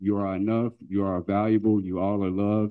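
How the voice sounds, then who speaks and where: A man with an American accent talks in a normal speaking voice, fairly low in pitch, at a moderate pace. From North Carolina. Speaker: youth club leader. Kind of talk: conference talk. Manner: earnest.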